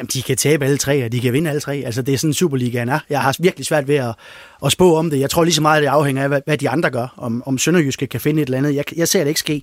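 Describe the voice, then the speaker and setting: A man at a very fast pace with fairly even intonation, in a dry, close sound without echo. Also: fairly high pitch for a man. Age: 50s. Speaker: freelance sports journalist. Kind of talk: casual panel discussion.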